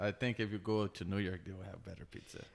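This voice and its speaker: A man's fairly low-pitched voice in a flat, monotone delivery. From Brazil. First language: Portuguese. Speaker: tattoo artist. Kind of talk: casual chat. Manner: halting.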